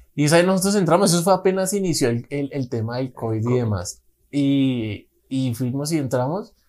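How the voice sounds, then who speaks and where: A man talks at a fairly quick pace in a normal speaking voice, with a fairly high pitch. His intonation is lively. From Colombia, Bogotá. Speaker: podcast co-host, musician. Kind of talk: casual chat.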